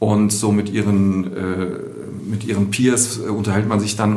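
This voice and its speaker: A man speaks in a fairly low pitch with monotone, flat intonation. Noticeable background noise and audible room echo surround him. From Düsseldorf, Germany. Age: 40s. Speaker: art fair director. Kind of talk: podcast interview. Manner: hesitant with many fillers.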